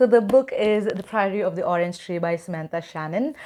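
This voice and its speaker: A woman's voice of medium pitch, dark and mellow in tone, with ordinary pitch variation. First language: not English. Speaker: book YouTuber. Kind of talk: casual vlog talk. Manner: hesitant with many fillers.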